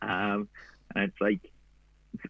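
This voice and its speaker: A man with an Australian accent speaks with lively intonation. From Gold Coast, Australia. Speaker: endurance runner. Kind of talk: interview. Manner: casual, slangy.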